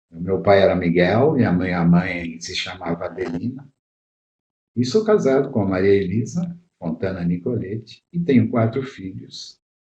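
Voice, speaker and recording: Speaking at a moderate pace, a man has a fairly low, somewhat breathy voice with a dark, mellow tone, lively intonation and big swings in loudness. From southern Brazil, Caxias do Sul area (Rio Grande do Sul). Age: 70s. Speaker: pediatrician. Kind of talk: interview. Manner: halting, with fillers.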